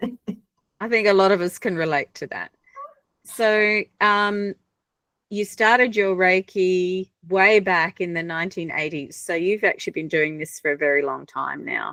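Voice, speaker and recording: A woman with an Australian accent, medium pitch, ordinary pitch variation and a fairly slow pace, in a dry, close sound with no echo. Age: 60s. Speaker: webinar host. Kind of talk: hosting an online panel.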